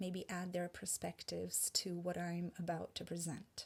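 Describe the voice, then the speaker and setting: A woman with a Hungarian accent speaks at a fairly slow pace and medium pitch, sounding somewhat breathy. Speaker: presenter on language and spirituality. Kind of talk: presentation.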